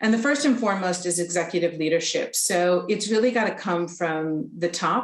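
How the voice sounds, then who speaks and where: Against noticeable background noise, a woman with a North American accent talks at a moderate pace with hardly any pauses, her fairly low pitch showing ordinary variation and her loudness very even. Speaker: charity representative, presenter. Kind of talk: presentation. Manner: hesitant, many fillers.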